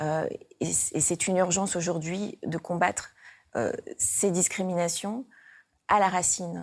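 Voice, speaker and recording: A woman with a fairly low pitch speaks at a fairly slow pace with fairly even intonation and long, frequent pauses, in a very clean recording with a silent background. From Réunion. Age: 40s. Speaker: politician, parliamentary candidate. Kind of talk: campaign video interview. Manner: hesitant, many filler sounds.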